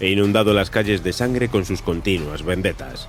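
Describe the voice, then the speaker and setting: With music playing in the background, a man speaks at a fairly quick pace. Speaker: podcast narrator. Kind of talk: history documentary narration.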